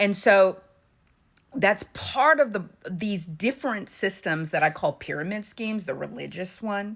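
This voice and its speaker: At a fairly slow pace, a woman speaks at medium pitch with lively intonation. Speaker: intuitive commentator, channel owner. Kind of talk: monologue to camera. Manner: halting, many fillers and restarts.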